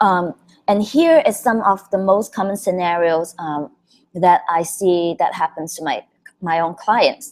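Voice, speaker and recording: A woman speaks at a fairly slow pace in an ordinary speaking voice. Her pitch is medium, with ordinary variation. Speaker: branding coach running an online class. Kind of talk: webinar presentation. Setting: live video broadcast.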